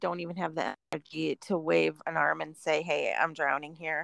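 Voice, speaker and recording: A woman at a fairly quick pace, the sound dry and close with no echo. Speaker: podcast co-host. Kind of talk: casual conversation. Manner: playful, uses a special podcast voice.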